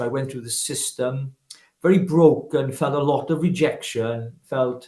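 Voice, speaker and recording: A man with a Welsh accent speaks at a moderate pace, somewhat breathy and with fairly even intonation. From Wales, Llanelli. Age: 50s. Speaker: political activist. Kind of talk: interview testimony.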